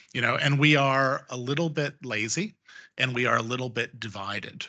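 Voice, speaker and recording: A man with an American accent speaks at a moderate pace in a bright, sharp tone. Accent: sounds American. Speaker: panelist on defense and geopolitics. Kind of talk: panel discussion. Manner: hesitant, many fillers.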